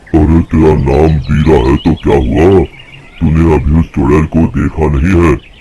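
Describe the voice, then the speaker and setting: A man puts on a character voice, very deep and low in pitch with a rumbling quality. He talks at a moderate pace over clear background noise. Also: fairly even intonation. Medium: audio drama. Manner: grumbling.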